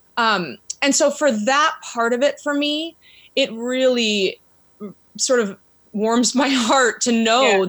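With an American accent, a woman talks very slowly. Her pitch is high and varies in an ordinary way. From US Pacific Northwest, Seattle area. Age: 40s. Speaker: women's soccer club owner. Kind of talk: interview.

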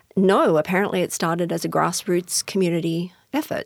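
The woman's fairly low pitch carries a fairly even intonation at a moderate pace, the sound dry and close with no echo. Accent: Australian. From Australia. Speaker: former arts critic. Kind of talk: interview. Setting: studio.

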